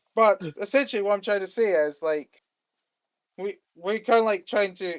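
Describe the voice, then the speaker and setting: Someone with a Scottish accent speaks in an animated tone at a moderate pace with ordinary pitch variation, the sound dry and close with no echo. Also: man. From Scotland. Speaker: music producer. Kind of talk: casual interview chat.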